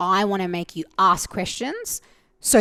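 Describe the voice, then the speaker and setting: A woman speaks loudly at a medium pitch. The recording is very clean, with a silent background. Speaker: mental fitness and performance coach. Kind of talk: casual interview conversation.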